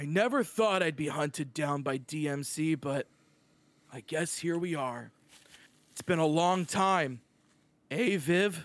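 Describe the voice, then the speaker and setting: A man's put-on character voice at a fairly slow pace, with long, frequent pauses. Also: fairly high pitch for a man. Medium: actual play. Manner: bitter, accusing.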